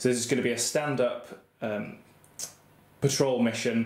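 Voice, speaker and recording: Audible room echo surrounds a man talking at a fairly quick pace in a monotone, flat voice. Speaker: wargaming hobbyist host. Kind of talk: tutorial commentary. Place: home room. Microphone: phone near.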